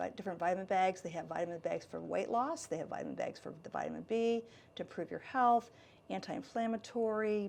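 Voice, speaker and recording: A woman speaks in an unremarkable speaking voice with an American accent. Her pitch is medium, with ordinary pitch variation. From Michigan, US Midwest. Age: 60s. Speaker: salon and med spa owner. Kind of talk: interview.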